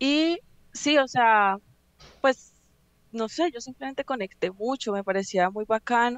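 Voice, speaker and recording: Pitch varies in an ordinary way, and the pace is fairly slow. It is a normal speaking voice. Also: woman. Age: 20s. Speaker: reiki practitioner. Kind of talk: interview. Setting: studio.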